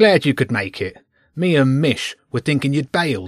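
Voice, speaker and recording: A man speaks loudly in a put-on character voice at a moderate pace. The recording is very clean, with a silent background. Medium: read story. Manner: loud, mocking.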